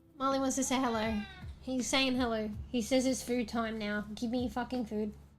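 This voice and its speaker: A woman's high voice comes through noticeable background noise. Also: moderate pace. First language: not English. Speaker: VTuber streamer. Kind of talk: casual chat. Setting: livestream. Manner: animated; casual. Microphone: new microphone, some echo.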